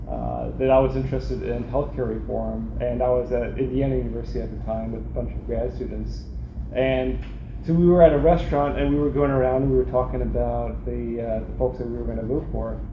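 A man talks at a fairly quick pace, with audible room echo and light background noise around him. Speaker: presenter. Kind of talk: lecture. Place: hall.

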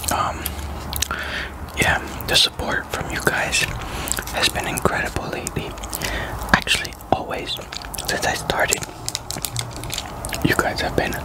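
At a fairly slow pace, a man talks with long, frequent pauses. Loud background noise fills the dry, echo-free recording. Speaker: ASMR mukbang creator. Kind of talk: casual talk to camera. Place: home room. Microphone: studio mic.

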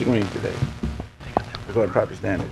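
There's a male voice talking. Behind him, music can be heard. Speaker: council chairman. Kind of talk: meeting questioning. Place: hall.

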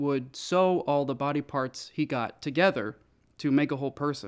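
Speaking at a moderate pace, a man uses ordinary pitch variation against a quiet background. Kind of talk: interview answer.

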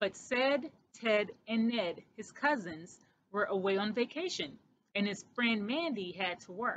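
What we hear is plain reading aloud.

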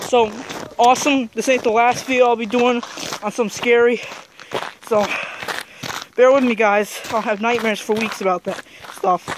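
The speech moves at a moderate pace, broken by long, frequent pauses. The sound is dry with no echo, over noticeable background noise. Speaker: vlogger. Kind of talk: casual vlog chat. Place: open country. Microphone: phone near.

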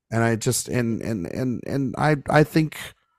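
A man is recorded with a dry, close sound and no echo. The recording is very clean, with a silent background. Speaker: film podcast host and editor. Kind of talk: casual chat.

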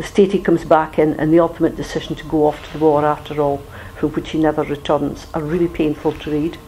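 A woman with a very deep, low pitch talks very fast in a monotone, flat intonation, her loudness swinging widely over noticeable background noise. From Aberdeenshire, Scotland. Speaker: trade union leader. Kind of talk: talk at an educational meeting.

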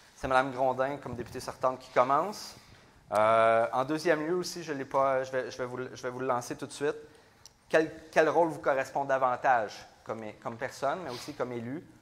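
A man with a Quebec accent talks at a moderate pace and a medium pitch. His pitch varies in an ordinary way, while his loudness swings widely. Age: 30s. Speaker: mayor and debate moderator; mayor, debate moderator. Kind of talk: moderated political debate. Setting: stage with audience. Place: hall. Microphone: lapel.

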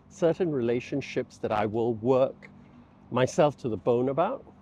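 The man's tone is dark and mellow, and he talks at a very slow pace. The sound is dry, with no echo. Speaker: vlogger. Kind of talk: casual vlog chat. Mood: reflective. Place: street. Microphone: lapel.

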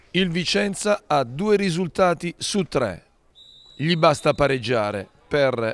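Dry and close with no echo, a man's fairly high voice moves at a fairly slow pace with lively intonation. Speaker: football commentator. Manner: emphatic and repetitive, with abrupt interjections such as 'Attenzione'.

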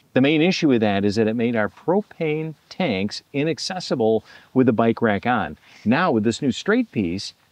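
A man's voice at a moderate pace, dry and echo-free, over a quiet background. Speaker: campground host. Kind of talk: casual vlog tutorial. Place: open country. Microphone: phone near.

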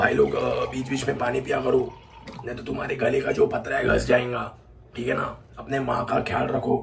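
Light background noise sits behind a man who talks at a moderate speed. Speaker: vlogger. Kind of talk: casual vlog chat. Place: home room. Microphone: phone near.

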